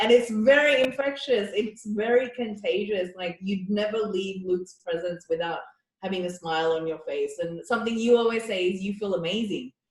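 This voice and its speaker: The woman's voice is somewhat breathy, with ordinary pitch variation, and she keeps a moderate pace. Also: medium pitch for a woman. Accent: non-native. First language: not English. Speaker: podcast host, dance company. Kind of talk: casual chat.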